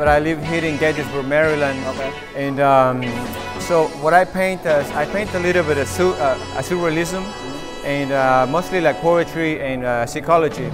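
Clear music plays behind a man speaking at a moderate pace with ordinary pitch variation. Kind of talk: interview answer. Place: hall.

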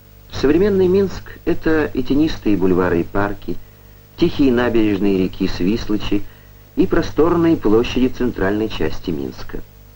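With a solemn tone, a man speaks at a moderate pace, his loudness swinging widely. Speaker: film narrator. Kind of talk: scripted documentary narration. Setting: vintage film voice-over. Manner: formal, measured, declamatory Soviet-era newsreel delivery; steady, even-paced and solemn, with proud official tone.

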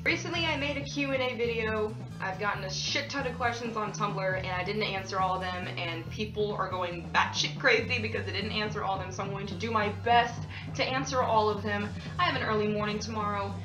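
Over clear background music, a woman talks at a fairly quick pace. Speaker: vlogger. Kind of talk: casual vlog chat. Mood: playful, joking. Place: bathroom. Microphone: phone near.

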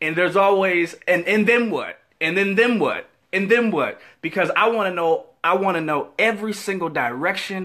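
A man speaks in a raised, projected voice with a bright, sharp tone, at a moderate pace and with ordinary pitch variation, against a quiet background. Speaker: faith vlogger. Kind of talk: casual vlog chat, inspirational talk. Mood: humorous, upbeat. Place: office. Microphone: headset.

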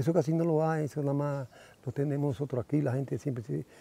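A man talks at a very fast pace in a fairly high, somewhat breathy voice with a dark, mellow tone. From Dominican Republic, Puerto Plata. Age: old. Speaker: beekeeper and farmer. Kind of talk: casual chat.

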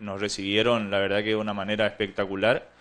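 This man has a fairly low voice with a bright, sharp tone. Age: 30s. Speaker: local councillor; town councillor. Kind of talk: TV interview. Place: studio. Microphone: handheld.

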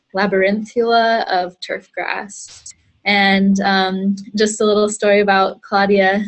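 Music plays behind a woman who speaks fairly slowly. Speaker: webinar host. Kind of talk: speaker introduction. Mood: friendly, smiling. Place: office. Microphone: earbuds.

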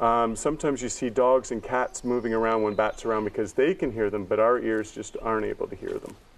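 Here a man is talking. He moves at a fairly quick pace. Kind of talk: explaining to a child. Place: forest.

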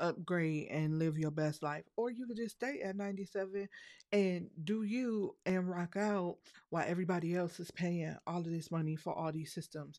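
Against a quiet background, a woman talks fairly slowly at a fairly low pitch with ordinary pitch variation. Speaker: software tutorial creator. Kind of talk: tutorial. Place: home room. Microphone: studio mic.

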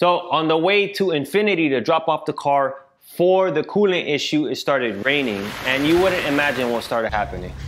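Lively intonation marks a man's fairly quick delivery. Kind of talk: casual vlog chat. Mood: frustrated storytelling. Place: garage.

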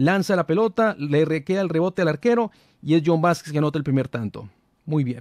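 A man talks at a fairly quick pace with lively intonation, the sound dry with no echo and the background quiet. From Colombia. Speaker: football commentator, fan channel host; football commentator youtuber. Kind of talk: casual match analysis monologue. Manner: hesitant, many fillers. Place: studio. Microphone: studio mic.

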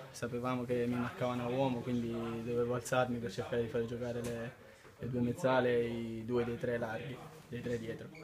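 A man's medium-pitched, flat monotone at a fairly quick pace, with noticeable background noise. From Sicily. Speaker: footballer. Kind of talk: post-match interview answer. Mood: calm, satisfied after win. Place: hall. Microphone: handheld.

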